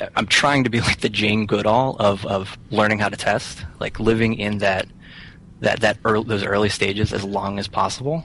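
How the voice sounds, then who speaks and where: A man with an American accent, fairly low-pitched, at a moderate pace with fairly even intonation. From western Pennsylvania. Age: 20s. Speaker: software contractor and author. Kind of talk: casual interview chat. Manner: halting, many fillers and repeats.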